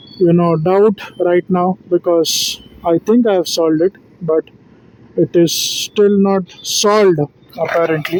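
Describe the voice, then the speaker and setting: The speech moves at a fairly slow pace. Noticeable background noise runs beneath it. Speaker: vlogger. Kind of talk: casual monologue vlog. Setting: in a car. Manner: halting, many fillers. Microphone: phone recording, slightly low quality.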